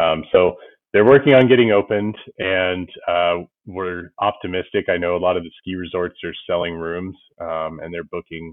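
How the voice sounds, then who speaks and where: Loudness rises and falls sharply as a man with an American accent talks in a very deep, low pitch. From Ohio, US Midwest. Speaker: fly fishing guide. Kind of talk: casual chat. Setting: video call.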